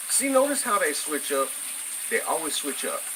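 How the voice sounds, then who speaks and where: A man's lively intonation stands out against noticeable background noise. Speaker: political commentary vlogger. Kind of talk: casual political rant. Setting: home kitchen. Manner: halting, many fillers.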